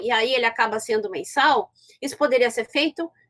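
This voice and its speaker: This woman's high-pitched voice comes through dry and close, with no echo. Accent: Rio Grande do Sul. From southern Brazil, Porto Alegre. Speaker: law professor. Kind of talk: lecture. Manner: halting, many fillers and restarts.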